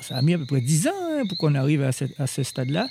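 A man's fairly high-pitched, somewhat breathy voice at a fairly quick pace. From Guadeloupe, Basse-Terre. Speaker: chef. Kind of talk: interview. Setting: outdoors in a garden at night. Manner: halting, repeats words.

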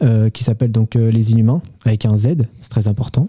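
A man speaks in a dark, mellow tone that is somewhat breathy. His intonation stays fairly even. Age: 20s. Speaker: aerospace engineering graduate. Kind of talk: radio interview. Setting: radio studio. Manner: hesitant, many fillers.

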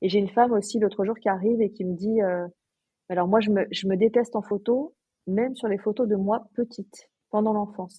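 A woman speaks at a fairly quick pace in a medium pitch. Her voice is somewhat breathy, with fairly even intonation. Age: 40s. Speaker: portrait photographer and podcaster. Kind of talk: interview conversation.

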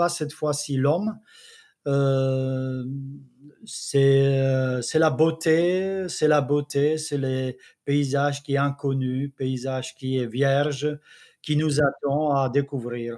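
A man in a Czech accent, fairly high in pitch, at a very slow pace. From Czech Republic. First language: Czech (speaking French). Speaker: travel photographer. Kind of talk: interview. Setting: video call.

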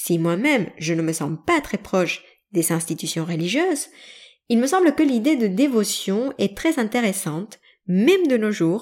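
Her pitch swings very widely. This woman's voice sits at a medium pitch. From Mexican family background. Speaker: yoga teacher and podcaster. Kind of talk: educational monologue.

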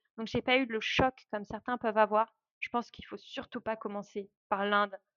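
Moderately paced, a woman's fairly high voice holds a monotone, flat intonation. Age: 30s. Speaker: traveler and travel organizer. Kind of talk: casual interview.

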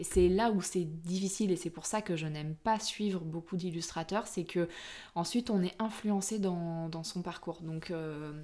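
This voice belongs to a woman. Her delivery has a fairly even intonation. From France, Corrèze (Brive-la-Gaillarde). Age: 30s. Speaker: illustrator. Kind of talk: casual interview. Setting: home studio.

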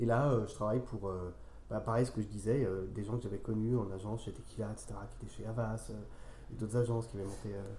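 Over audible room echo, a man with a fairly low pitch rushes along at a very fast pace in a monotone, flat intonation. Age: 30s. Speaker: freelance copywriter. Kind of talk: interview. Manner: halting, with frequent repetitions.

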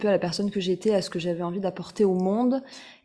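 At a fairly quick pace, a woman with medium pitch speaks in a dark, mellow tone with fairly even intonation. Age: 30s. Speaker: fashion blogger and author. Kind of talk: interview.

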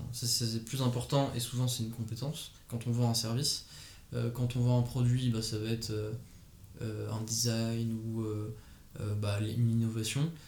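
Through audible room echo, a man speaks at a fairly slow pace in a monotone, with flat intonation. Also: medium pitch for a man. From Paris, France. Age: 20s. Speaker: fashion designer. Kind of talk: interview. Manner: halting.

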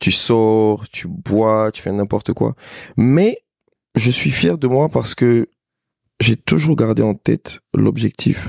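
Speech comes at a very slow pace with long, frequent pauses and lively intonation. The sound is dry and close, with no echo. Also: man, medium pitch for a man. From Côte d'Ivoire, Abidjan. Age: 30s. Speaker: entrepreneur. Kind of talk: casual interview.

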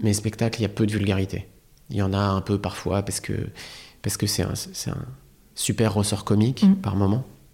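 A man with a fairly low pitch and a dark, mellow, somewhat breathy tone speaks at a fairly quick pace, flat and monotone, with long, frequent pauses. The recording is very clean, with a silent background. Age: 30s. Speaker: comedian. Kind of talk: casual chat. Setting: studio. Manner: halting.

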